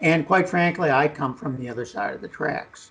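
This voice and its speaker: In an ordinary speaking voice, a man talks at a moderate pace with lively intonation and fairly high pitch. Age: 60s. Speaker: geologist and oil and gas entrepreneur. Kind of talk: radio interview.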